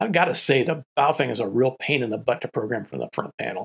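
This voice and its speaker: A man speaks in a somewhat breathy voice. The background stays quiet. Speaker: ham radio hobbyist reviewer. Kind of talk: product review talk to camera. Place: studio.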